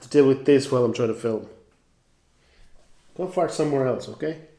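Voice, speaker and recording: A man with a medium-pitched voice talks at a very fast pace, his loudness swinging widely and his pitch varying in an ordinary way, with audible room echo. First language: not English. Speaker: singer-songwriter vlogger. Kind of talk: casual vlog talk. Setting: garage.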